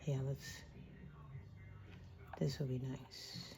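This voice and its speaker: Soft-spoken and somewhat breathy, a woman speaks with a very deep, low pitch and a dark, mellow tone. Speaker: crafting channel host. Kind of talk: craft tutorial. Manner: halting.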